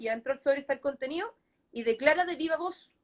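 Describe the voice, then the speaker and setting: Her voice is high-pitched, and she is a woman. She talks at a fairly quick pace with lively intonation. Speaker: lawyer. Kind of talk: legal explainer in live online talk. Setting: live online stream. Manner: fast.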